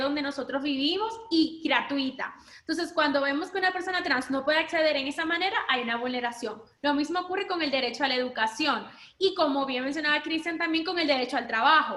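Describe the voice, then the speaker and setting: A woman speaks at a high pitch and a fairly quick pace, with ordinary pitch variation. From Dominican Republic. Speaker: human rights lawyer. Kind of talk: panel talk.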